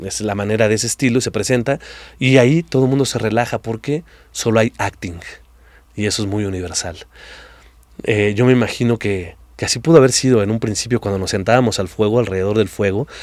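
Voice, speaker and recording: On a very clean recording with a silent background, a man with a Mexican accent talks at a fairly quick pace in a fairly low pitch with ordinary pitch variation. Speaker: actor and improv theatre director. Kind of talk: interview conversation.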